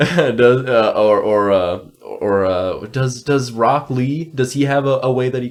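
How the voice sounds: Ordinary pitch variation shapes the natural reading voice here.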